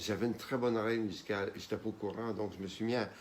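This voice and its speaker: This man has an unremarkable speaking voice, pitched fairly low. His intonation stays fairly even. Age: 60s. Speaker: pianist and composer. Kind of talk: interview.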